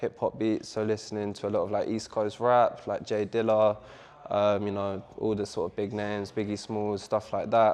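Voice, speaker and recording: A man speaks with a London accent at a moderate pace. His intonation stays monotone and flat. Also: fairly low pitch for a man. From London, England. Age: 20s. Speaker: DJ and music producer. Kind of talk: interview.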